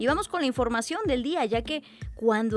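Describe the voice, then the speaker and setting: A woman's high voice with very wide pitch swings. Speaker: radio news host. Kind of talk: radio news presenting. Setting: radio studio.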